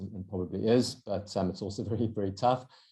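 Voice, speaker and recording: Against a quiet background, a man with a South African accent speaks fairly quickly in a fairly low pitch, his tone dark and mellow and his intonation fairly even. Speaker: endurance runner and entrepreneur. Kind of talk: podcast interview. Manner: hesitant with fillers and repeated words.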